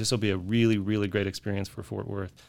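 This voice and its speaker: On a very clean recording with a silent background, a man speaks in an American accent at a fairly low pitch. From Utah, Salt Lake City. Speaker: botanic garden CEO. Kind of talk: podcast interview. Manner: hesitant with repeated words and fillers.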